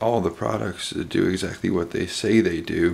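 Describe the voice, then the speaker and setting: Over noticeable background noise, a man speaks at a very slow pace in a very deep, low voice with ordinary pitch variation. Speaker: knife hobbyist video host. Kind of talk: casual video update. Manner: hesitant, many fillers.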